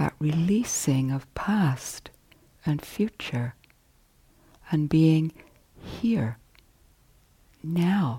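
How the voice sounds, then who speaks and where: A woman with a very deep, low, somewhat breathy voice speaks at a very slow pace with long, frequent pauses. Her tone is dark, mellow, calm and gentle, and her intonation is lively. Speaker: meditation teacher. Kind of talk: guided meditation. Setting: retreat hall. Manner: slow, soft-spoken, calm; gentle, with long pauses.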